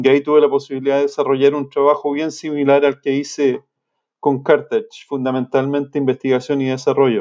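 A man with a Chilean accent talks at a fairly quick pace in a fairly high pitch, his dark, mellow tone delivered in a flat monotone with a dry, close sound and no echo. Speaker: swine nutritionist. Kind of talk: interview. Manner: halting, repeats words.

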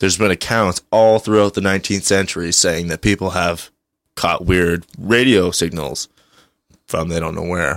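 Dry and close with no echo, a man's voice sits at a very deep, low pitch, with ordinary pitch variation and a moderate pace. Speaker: returning guest co-host. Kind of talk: casual chat. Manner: joking, talkative.

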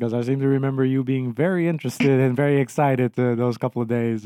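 A man talks at a very fast pace with hardly any pauses, in an Aruban accent. His medium-pitched voice has a dark, mellow tone. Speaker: podcast co-host and PhD student. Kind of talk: casual chat.

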